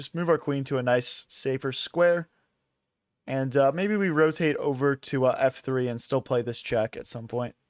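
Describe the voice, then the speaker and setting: A man with an ordinary speaking voice and an American accent talks at a moderate pace and a fairly high pitch with ordinary pitch variation, recorded very cleanly over a silent background with a dry, close sound and no echo. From US Northeast, Philadelphia. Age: 20s. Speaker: chess streamer. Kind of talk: live stream commentary. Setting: live stream. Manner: casual, filler-heavy.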